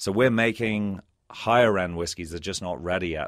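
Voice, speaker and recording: A man with an Irish accent at a fairly quick pace, ordinary pitch variation, on a very clean recording with a silent background. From Ireland. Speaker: whiskey brand founder. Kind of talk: casual interview.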